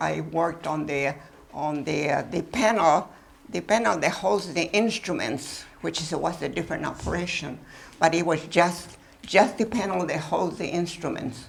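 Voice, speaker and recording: Her voice sits fairly low for a woman. Vocal fry runs through her speech. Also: ordinary pitch variation, moderate pace. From Mexico. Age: 80s+. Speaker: former wartime riveter. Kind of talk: talk and Q&A with students. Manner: lively.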